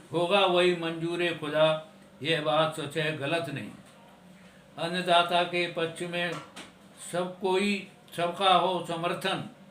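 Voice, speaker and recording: A man with a high pitch speaks in a flat, monotone way, leaving long, frequent pauses over noticeable background noise. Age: 70s. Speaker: retired telecom engineer. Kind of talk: poetry reading.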